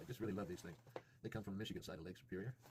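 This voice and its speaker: Somewhat breathy, a man with an American accent speaks at a fairly low pitch with lively intonation. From Southern United States. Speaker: resin and clay artist. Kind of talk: casual craft tutorial narration.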